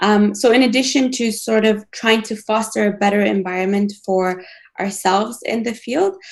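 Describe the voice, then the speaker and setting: A woman with a non-native accent speaks at a moderate pace, her fairly high voice held in fairly even intonation. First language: not English. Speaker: planetary scientist. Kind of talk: panel discussion. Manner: hesitant, many fillers.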